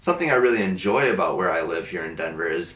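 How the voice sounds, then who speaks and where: A man uses a normal speaking voice with a fairly low pitch and ordinary pitch variation. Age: 20s. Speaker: photographer and design student. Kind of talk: documentary interview.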